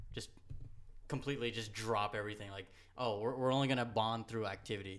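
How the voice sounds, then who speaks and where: Very fast speech from a man with an American accent, medium pitch and fairly even intonation. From New York, Hudson Valley (Goshen). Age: 20s. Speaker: skateboarder and sneaker designer. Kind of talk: casual chat.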